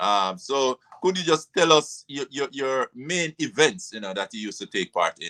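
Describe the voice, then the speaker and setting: A man's fairly high, bright and sharp voice with very wide pitch swings and big swings in loudness. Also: moderate pace, dry, close sound with no echo. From Jamaica, south coast. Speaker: show host. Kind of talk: interview.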